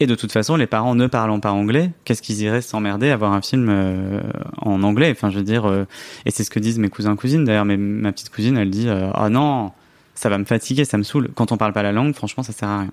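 Over a very clean recording with a silent background, a man speaks at a very fast pace, his fairly low voice showing ordinary pitch variation. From France, Grenoble. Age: 30s. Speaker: journalist and author. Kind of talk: podcast interview.

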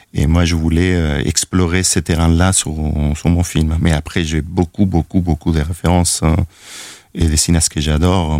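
A man in a Spanish accent, very deep and low in pitch, with monotone, flat intonation at a moderate pace, in a dry, close sound with no echo. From Chile, Valparaíso. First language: Spanish (speaking French). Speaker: film director. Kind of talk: interview. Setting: studio. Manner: halting, many repetitions.

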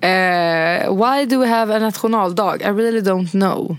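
The speech moves at a fairly slow pace with ordinary pitch variation. Noticeable background noise is present. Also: woman. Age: 20s. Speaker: podcast host. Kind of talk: casual chat.

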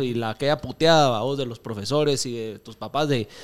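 On a very clean recording with a silent background, a man with a Guatemalan accent speaks with ordinary pitch variation. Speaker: podcast host. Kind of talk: casual chat.

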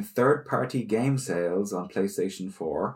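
A man speaks in an ordinary speaking voice at a fairly slow pace. His pitch is medium, and the recording is very clean with a silent background. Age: 30s. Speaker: video game podcast co-host. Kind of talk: casual chat.

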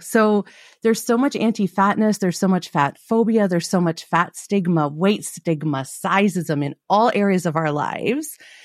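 A woman speaks at a moderate pace with medium pitch and lively intonation in a plain, everyday voice, recorded very cleanly against a silent background with a dry, close sound and no echo. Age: 40s. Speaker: body image coach and podcaster. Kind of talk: casual chat.

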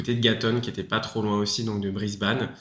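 In a room with audible echo, a man speaks at a fairly low pitch in a bright, sharp tone with monotone, flat intonation. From France, Paris. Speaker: student, former fruit picker. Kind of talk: casual interview.

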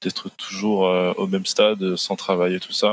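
A man's fairly low voice in a dry, close sound with no echo. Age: 20s. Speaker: 3D animation artist. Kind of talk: casual chat.

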